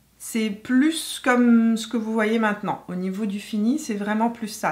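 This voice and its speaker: This is a woman speaking. Her voice sits fairly high. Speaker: beauty YouTuber. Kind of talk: makeup tutorial chat. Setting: home filming with ring light. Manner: hesitant, many fillers.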